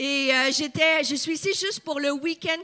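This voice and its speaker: A woman speaks at a fairly slow pace with a slight Quebec accent. Her tone is bright and sharp. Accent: light Québécois. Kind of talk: preacher, sermon.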